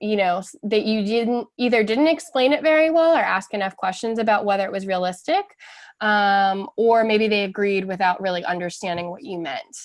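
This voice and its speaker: A woman with an ordinary speaking voice uses lively intonation at medium pitch. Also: moderate pace. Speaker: webinar participant. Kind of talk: group discussion report. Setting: online webinar.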